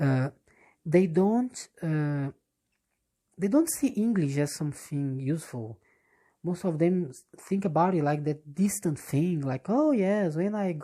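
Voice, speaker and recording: With a Portuguese accent, a woman speaks at a fairly slow pace in a fairly low pitch, her tone dark and mellow and her intonation lively. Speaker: English teacher. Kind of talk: casual monologue. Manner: halting, many fillers and restarts.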